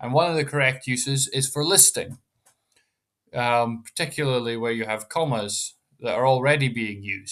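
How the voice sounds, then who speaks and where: A bright, sharp tone in a British accent, at a moderate pace with fairly even intonation. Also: man, very clean recording, silent background. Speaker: educational YouTuber. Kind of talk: tutorial. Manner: casual, with frequent fillers.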